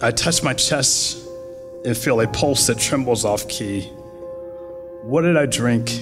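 Clear music plays behind a man who speaks at a fairly slow pace with ordinary pitch variation. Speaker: poet. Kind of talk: poetry reading. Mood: calm, reflective. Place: hall. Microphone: podium.

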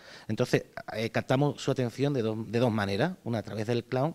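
With an Andalusian accent, a man talks at a fairly quick pace and medium pitch, with ordinary pitch variation. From Andalusia, Jerez; Andalusia, Spain. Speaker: clown performer. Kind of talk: interview. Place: gym. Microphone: handheld.

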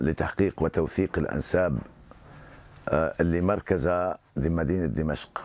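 Very slowly and with fairly even intonation, a man talks in a very deep, low voice with a Hama accent, the sound dry with no echo. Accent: Syrian Arabic, rural Hama. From Syria, Hama countryside; Syria. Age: 60s. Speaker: genealogist. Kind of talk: interview; interview answer. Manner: halting. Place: home room.

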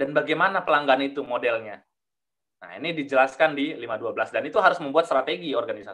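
Against a quiet background, a man speaks very fast with ordinary pitch variation and big swings in loudness. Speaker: management systems auditor; webinar presenter. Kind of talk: webinar presentation. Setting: video call. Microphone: headset problem, audio dropped out; video call.

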